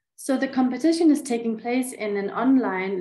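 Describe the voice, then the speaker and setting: Through audible room echo, a woman speaks at a moderate pace with ordinary pitch variation. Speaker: conference presenter. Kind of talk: presentation. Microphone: webcam.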